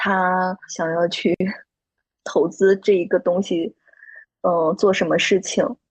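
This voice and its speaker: A woman speaks at a medium pitch with fairly even intonation, very slowly. Long pauses come often, and the sound is dry and close with no echo. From Shandong, China. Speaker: handmade plush toy brand founder and designer. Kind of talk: casual interview chat.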